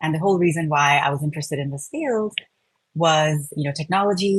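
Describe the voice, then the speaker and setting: Somewhat breathy, a woman speaks with a very deep, low pitch and fairly even intonation. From India. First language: Telugu. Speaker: product design manager. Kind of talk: interview. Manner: frequent fillers, uh and um.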